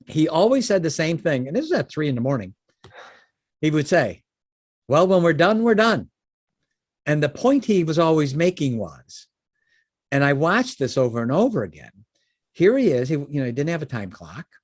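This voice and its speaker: An animated man speaks in a Chicago accent at a fairly high pitch. His pitch swings very widely, broken by long, frequent pauses. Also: moderate pace. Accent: Chicago-area American. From US Midwest, Chicago suburbs. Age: 60s. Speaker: business founder. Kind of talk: podcast interview.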